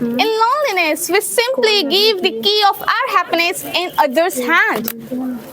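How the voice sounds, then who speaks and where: A woman's raised, projected voice at an extremely high pitch with very wide pitch swings, very even loudness, a fairly slow pace, hardly any pauses and noticeable background noise. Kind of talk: motivational stage speech.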